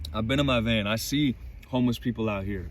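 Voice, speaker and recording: A man's medium-pitched voice with vocal fry and lively intonation. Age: 20s. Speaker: vlogger sharing faith. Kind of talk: personal faith monologue. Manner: animated.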